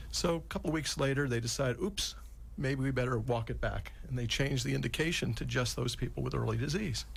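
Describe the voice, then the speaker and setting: A man talking at a very fast pace, with audible room echo. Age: 60s. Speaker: physician and Alzheimer's expert. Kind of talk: radio interview explanation.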